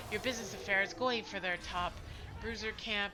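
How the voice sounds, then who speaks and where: A woman at medium pitch and a fairly quick pace, ordinary pitch variation, music in the background. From Ontario, Canada (Ottawa, Franco-Ontarian). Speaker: esports caster. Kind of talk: live commentary. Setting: live stream. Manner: animated.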